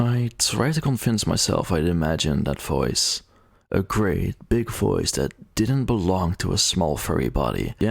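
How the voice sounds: Lively intonation over a natural reading voice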